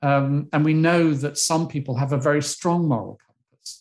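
Speaking with a British accent, a man has a fairly high pitch and a moderate pace. The background is quiet. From UK. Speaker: retired psychology professor. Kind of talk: interview. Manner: animated.

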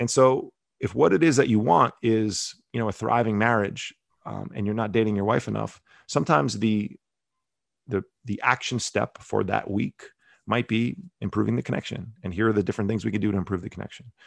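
A man talks at a fairly quick pace in a normal speaking voice, fairly low in pitch, with an American accent. His pitch varies in an ordinary way, and the sound is dry and close with no echo. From New Jersey, Bergen County. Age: 40s. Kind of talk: casual interview chat.

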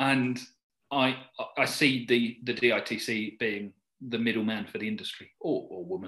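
A man speaks with a southern English accent at medium pitch and a fairly slow pace. His tone is bright and sharp, with ordinary pitch variation. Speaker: driving instructor. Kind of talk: interview chat.

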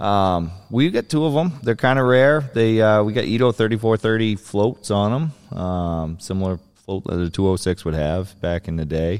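With an American accent and an ordinary speaking voice, a man talks at a moderate pace in a fairly low pitch, his intonation lively. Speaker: seaplane pilot and flying service operator. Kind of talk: casual interview. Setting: in a seaplane hangar.

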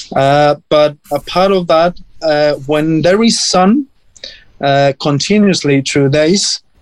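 Speaking in a Spanish accent, a man talks at a fairly slow pace and fairly high pitch with ordinary pitch variation, in a dry, close sound with no echo. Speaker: cactus grower and chef. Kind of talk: interview. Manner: halting.

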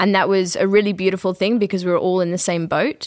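A woman with an Australian accent speaks at a medium pitch. The recording is very clean, with a silent background. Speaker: student teacher. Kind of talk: panel discussion.

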